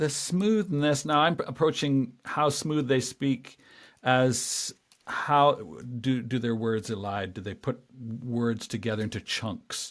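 Lively intonation marks this man's medium-pitched voice, delivered at a very slow pace. The recording is very clean, with a silent background. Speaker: podcast host. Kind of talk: casual interview. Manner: conversational, hesitant.

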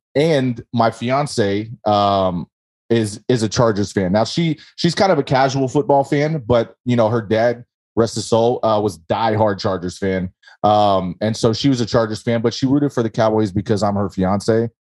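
A normal speaking voice from a man with an American accent, medium in pitch, at a moderate pace with ordinary pitch variation. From California, Bay Area. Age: 30s. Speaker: football fan guest. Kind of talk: interview.

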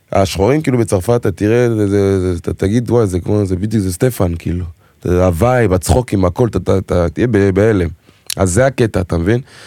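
A man with a French accent speaks at a fairly quick pace with a fairly low pitch. His tone is dark and mellow, with ordinary pitch variation. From Israel, Togolese family. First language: French (speaking Hebrew). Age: 20s. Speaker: singer and dancer. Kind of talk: casual chat.

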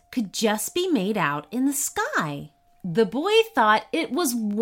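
Reading done in a natural reading voice

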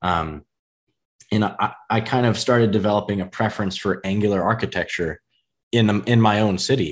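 A man with an American accent talks at a moderate pace in an ordinary speaking voice, fairly low in pitch. The background is quiet. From US Midwest. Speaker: podcast host. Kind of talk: casual interview. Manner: casual, filler-heavy.

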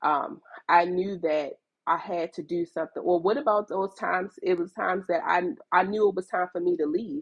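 A woman with an American accent in an ordinary speaking voice, medium in pitch with ordinary pitch variation, at a moderate pace, in a dry, close sound with no echo. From Baltimore, Maryland, US. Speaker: fashion entrepreneur. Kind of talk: casual interview chat.

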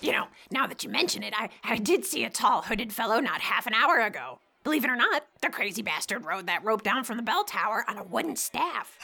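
A woman uses a put-on character voice with a fairly high pitch and very wide pitch swings. She talks at a fairly quick pace. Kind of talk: comic character acting. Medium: audio drama. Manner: sly, theatrical, folksy.

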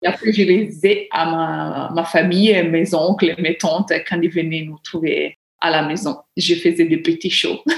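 At a fairly slow pace, a woman with an Italian accent speaks in a fairly low pitch with fairly even intonation. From Italy, small village. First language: Italian (speaking French). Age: 30s. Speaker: book lover and amateur writer. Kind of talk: interview. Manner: halting, with repetitions.

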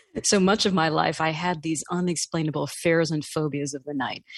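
Recorded dry and close with no echo, against a quiet background. A woman with an American accent and fairly low pitch talks at a moderate pace. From New York City. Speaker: life coach and author. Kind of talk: interview.

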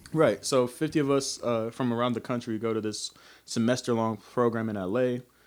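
This is an ordinary speaking voice: a man at medium pitch. He talks at a fairly quick pace with fairly even intonation. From US South, Kingsport, Tennessee. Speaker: rapper and actor. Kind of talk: casual interview chat.

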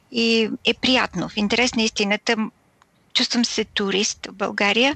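A woman's voice with vocal fry at a moderate pace. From Bulgaria. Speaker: radio producer and host. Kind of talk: interview.

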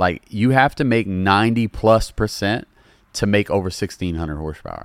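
Recorded dry and close with no echo and a silent background in a very clean recording, a man talks at a moderate pace and fairly low pitch with an animated tone and ordinary pitch variation. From Louisiana. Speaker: comedy internet creator and car enthusiast. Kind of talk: casual podcast chat. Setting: podcast recorded in a car detailing shop. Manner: casual, joking, animated.

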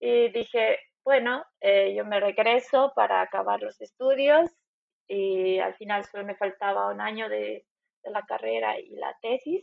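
This woman talks at a fairly slow pace, and her loudness swings widely. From Bolivia, Cochabamba. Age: 30s. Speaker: immigrant in Germany. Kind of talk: interview.

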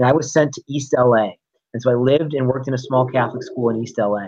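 A man talks at a fairly quick pace in a normal speaking voice. His pitch is medium. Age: 30s. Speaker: wrestling promoter and high school principal. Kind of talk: interview.

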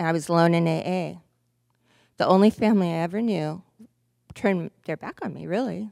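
Soft-spoken and fairly quick, a woman with a fairly low pitch and a dark, mellow tone leaves long, frequent pauses, recorded very cleanly against a silent background with a dry, close sound and no echo. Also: ordinary pitch variation. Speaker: recovery meeting speaker. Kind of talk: testimony. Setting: stage with audience.

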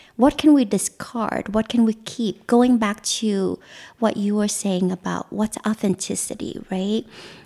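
With a Vietnamese accent, a woman speaks at a fairly slow pace in a fairly high pitch, her dark, mellow tone held in fairly even intonation and captured with a dry, close sound with no echo. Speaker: mentalist and magician. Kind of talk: interview conversation. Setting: recorded at her home.

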